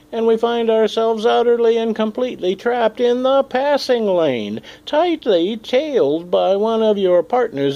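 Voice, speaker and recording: There is noticeable background noise as a man speaks at a fairly slow pace. His pitch is high. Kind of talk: comedic monologue to camera.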